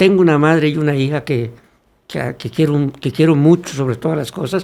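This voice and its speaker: This man has a plain, everyday voice with a fairly high pitch. He keeps a moderate pace and ordinary pitch variation. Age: 60s. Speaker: former legislator and congress staff member, communicator. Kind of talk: podcast interview.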